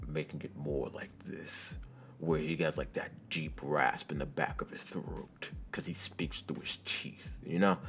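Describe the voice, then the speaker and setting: A put-on character voice, raspy and growling, goes at a moderate pace. Clear background noise can be heard. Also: man, very deep, low pitch for a man. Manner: speaking through the teeth.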